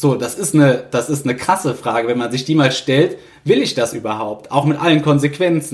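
Fairly high in pitch, a man speaks at a moderate pace with ordinary pitch variation. He has an ordinary speaking voice. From Rhineland, Germany (Niederkassel). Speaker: master carpenter, family business successor. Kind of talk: interview.

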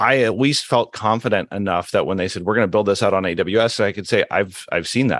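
A man's plain, everyday voice, fairly low-pitched, with ordinary pitch variation, a fairly quick pace and a quiet background. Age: 40s. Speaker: former teacher turned cloud engineer. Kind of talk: interview.

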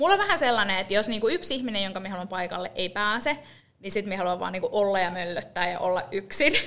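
A bright, sharp tone comes through at a very fast pace with ordinary pitch variation. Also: woman, medium pitch for a woman. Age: 30s. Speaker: podcast co-host. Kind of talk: casual chat. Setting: rented podcast studio.

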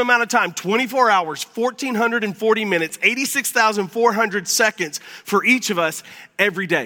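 Raised and projected, a man's high voice comes across bright, sharp and animated, moving at a fairly quick pace with ordinary pitch variation. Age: 50s. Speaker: pastor. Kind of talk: sermon.

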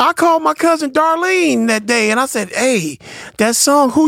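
In a dry, close sound with no echo, a man talks at a moderate pace. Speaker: music show host. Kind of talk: casual chat.

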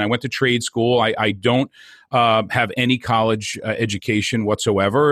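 A man with a New Jersey accent speaks at a medium pitch with ordinary pitch variation, the sound dry and close with no echo on a very clean recording with a silent background. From New Jersey (Hoboken). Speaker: entrepreneur and network marketer. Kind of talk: interview. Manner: animated.

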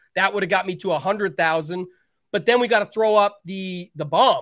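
A man with a Canadian accent speaks at a fairly quick pace. His pitch is high, with ordinary pitch variation. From Canada. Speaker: daily fantasy sports player. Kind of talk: casual chat.

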